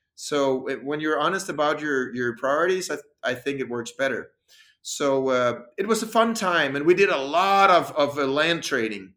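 Speaking at a moderate pace with a Danish accent, a man has a fairly high pitch, a bright, sharp tone and lively intonation. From Denmark. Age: 40s. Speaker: freediver and breathing coach. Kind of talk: interview. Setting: video call.

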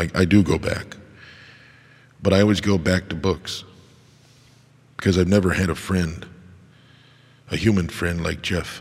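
A man with a very deep, low pitch, monotone flat intonation and long, frequent pauses. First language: American Sign Language. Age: 50s. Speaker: podcast host. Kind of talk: personal monologue.

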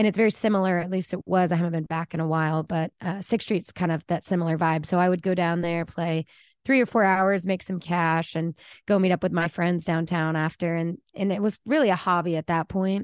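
A woman's plain, everyday voice, fairly low in pitch, at a fairly quick pace with fairly even intonation, in a dry, close sound with no echo and a quiet background. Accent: American. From Texas, Dallas area. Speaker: country singer-songwriter. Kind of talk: casual chat.

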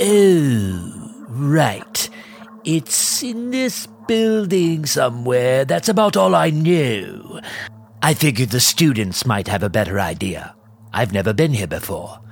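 A put-on character voice with low-to-middle pitch and very wide pitch swings, at a fairly slow pace, with faint music in the background. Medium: audio drama. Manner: casual, breezy.

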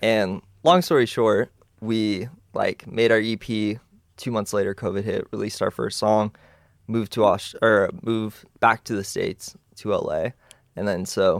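Recorded very cleanly against a silent background with a dry, close sound and no echo, a man uses a normal speaking voice, fairly low in pitch with fairly even intonation. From Texas (Dallas). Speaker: drummer and music producer. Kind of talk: casual chat.

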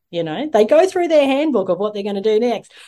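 Dark, mellow tones in an Australian accent over a quiet background. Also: woman. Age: 40s. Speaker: yoga teacher and online show host. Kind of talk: casual interview chat.

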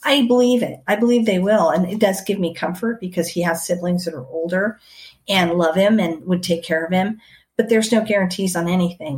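At a moderate pace, a somewhat breathy woman speaks at medium pitch with ordinary pitch variation. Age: 50s. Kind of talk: interview.

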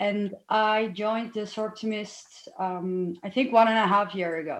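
A woman with a Dutch accent at a moderate pace, her intonation fairly even. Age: 30s. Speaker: lawyer. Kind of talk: interview.

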